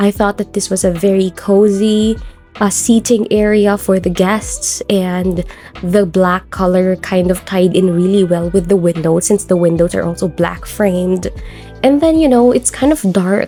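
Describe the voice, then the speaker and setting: Over music in the background, a woman at medium pitch keeps a moderate pace and very even loudness. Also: ordinary pitch variation. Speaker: game YouTuber. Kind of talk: casual gameplay build commentary.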